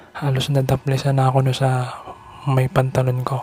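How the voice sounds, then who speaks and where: Over noticeable background noise, a man with a medium pitch talks at a moderate pace in a monotone, flat way. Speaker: vlogger. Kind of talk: personal vlog monologue. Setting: outside a house at night. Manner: soft-spoken, can't speak loudly; halting.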